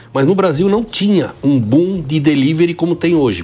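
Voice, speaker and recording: A man with a fairly high voice and lively intonation keeps a moderate pace while noticeable background noise plays. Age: 70s. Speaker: restaurant co-owner. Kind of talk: interview.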